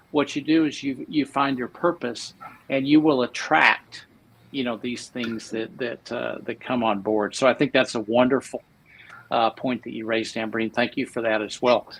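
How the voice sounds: A man's medium-pitched voice with an American accent, vocal fry, a fairly bright tone, fairly even intonation and a moderate pace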